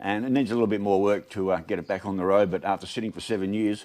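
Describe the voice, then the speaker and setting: A man speaks at a very fast pace with an Australian accent. His pitch is fairly low and his intonation fairly even. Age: 60s. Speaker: video blogger. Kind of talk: casual vlog monologue.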